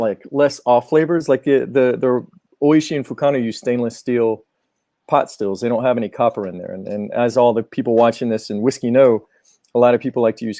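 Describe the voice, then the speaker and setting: A man with a Georgia accent talks at a fairly quick pace in a dark, mellow tone at medium pitch, with ordinary pitch variation and a dry, close sound with no echo. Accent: Southern US (Georgia), self-noted. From Georgia, US South. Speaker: Japanese whisky importer representative. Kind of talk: live-stream Q&A explanation. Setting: live stream video call. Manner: halting, many repetitions.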